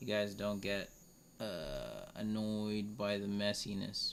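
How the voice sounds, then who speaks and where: A man speaks at a very slow pace. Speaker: art tutor / illustrator streamer. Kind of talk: live-stream drawing tutorial. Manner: casual, thinking aloud with fillers.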